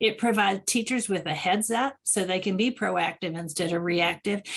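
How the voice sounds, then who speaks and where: The voice belongs to a woman and is somewhat breathy. She keeps a moderate pace and lively intonation. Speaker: expert presenter on school trauma support program. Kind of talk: webinar presentation.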